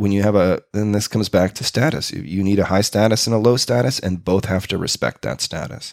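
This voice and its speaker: On a very clean recording with a silent background and a dry, close sound with no echo, a man with a Canadian accent talks at a moderate pace and fairly low pitch with ordinary pitch variation. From Canada, Winnipeg, Manitoba. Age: 40s. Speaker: improv performer and teacher. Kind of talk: casual interview.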